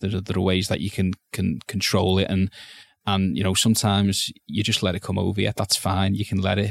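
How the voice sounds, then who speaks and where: A man talks at a very fast pace in a monotone, flat intonation. The recording is very clean with a silent background and a dry, close sound with no echo. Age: 30s. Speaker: sports journalist. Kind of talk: personal testimony interview. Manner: halting, many repetitions.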